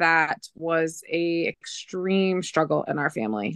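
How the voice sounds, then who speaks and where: With an American accent, a woman speaks at a fairly slow pace in an unremarkable speaking voice, the sound dry and close with no echo. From Michigan, between Flint and Saginaw. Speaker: teacher and fitness transformation competitor. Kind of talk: casual interview.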